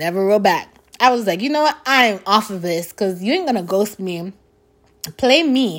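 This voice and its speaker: With an American accent and an animated tone, a woman at medium pitch uses very wide pitch swings at a moderate pace on a very clean recording with a silent background. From New York. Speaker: podcast host. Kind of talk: casual chat. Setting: at home.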